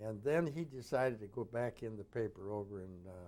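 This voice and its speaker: A man talks in a dark, mellow tone at a medium pitch. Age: 80s+. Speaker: retired broadcasting executive. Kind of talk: oral history interview. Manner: halting.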